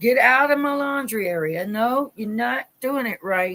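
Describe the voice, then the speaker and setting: A woman speaks loudly in an animated, bright and sharp tone with an American accent and lively intonation, on a very clean recording with a silent background. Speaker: Bible study leader. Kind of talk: livestream Bible study. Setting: live stream.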